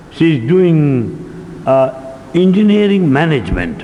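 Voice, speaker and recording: A speaker with an Indian accent swings very widely in pitch. Audible room echo and noticeable background noise surround the voice. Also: man. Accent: Indian English, Telugu. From India, Telugu-speaking region. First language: Telugu. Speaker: spiritual lecturer. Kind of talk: lecture. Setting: hall with live audience.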